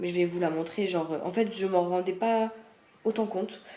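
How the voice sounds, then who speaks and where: Noticeable background noise runs under the speech. A woman talks at medium pitch with fairly even intonation. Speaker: vlogger. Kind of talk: casual vlog.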